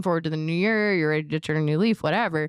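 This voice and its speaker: A woman's voice comes through a very clean recording with a silent background, dry and close with no echo. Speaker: podcast co-host. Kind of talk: casual chat. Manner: loud.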